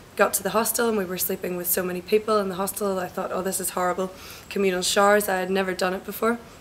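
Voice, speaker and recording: A woman speaks very fast at a medium pitch, her intonation flat and monotone, with noticeable background noise behind her. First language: not Spanish. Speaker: EU volunteer. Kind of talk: interview testimony.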